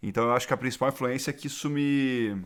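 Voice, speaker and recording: With fairly even intonation, a man talks in a very clean recording against a silent background. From Brazil, Rio and São Paulo. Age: 30s. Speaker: angel investor. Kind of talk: interview conversation. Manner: hesitant with frequent repetitions.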